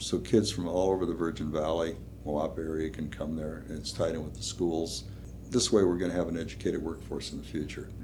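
Talking at a fairly quick pace, a man with an American accent has a very deep, low pitch and vocal fry. His intonation is lively, and audible room echo is present. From Minnesota (Duluth). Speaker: small-town mayor, Vietnam veteran. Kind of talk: interview conversation.

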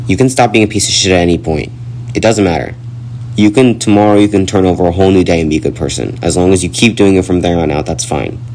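A man talks very fast in a very deep, low voice with lively intonation. Noticeable background noise runs underneath. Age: 20s. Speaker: podcast host. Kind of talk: solo personal monologue.

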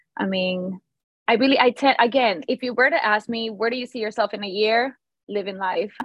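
A woman's fairly high voice with a Spanish accent. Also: ordinary pitch variation, fairly quick pace. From Venezuela. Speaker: hair stylist and educator. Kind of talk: interview.

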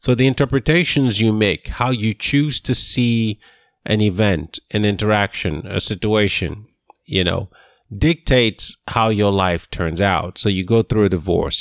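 A man talks in a fairly low pitch. The sound is dry and close, with no echo. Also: very even loudness. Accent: non-native. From lives in Houston, Texas. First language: not English. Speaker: podcast co-host. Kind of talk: casual chat. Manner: precise, formal diction.

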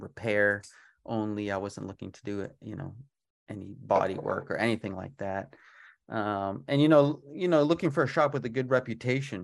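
In a very clean recording with a silent background, a man with an American accent speaks at a moderate pace and fairly low pitch, his intonation lively and his loudness swinging widely. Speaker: auto repair shop owner. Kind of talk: interview. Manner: halting, many fillers.

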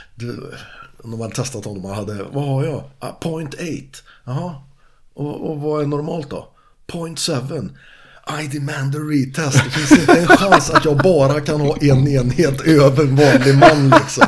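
Somewhat breathy and fairly high-pitched, a man speaks at a fairly slow pace with ordinary pitch variation and big swings in loudness. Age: 50s. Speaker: martial artist and fishing guide. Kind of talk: casual chat.

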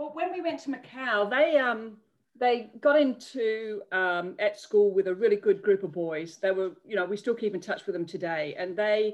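Here a woman talks at a moderate pace. Her pitch is fairly high, and her intonation is lively. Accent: Australian. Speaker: bereaved mother and charity founder. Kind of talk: interview testimony.

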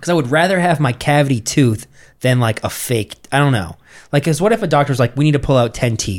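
Fairly quick and lively in its intonation, an unremarkable speaking voice carries on. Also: man, fairly high pitch for a man. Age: 30s. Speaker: podcast host. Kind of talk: casual banter. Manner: joking.

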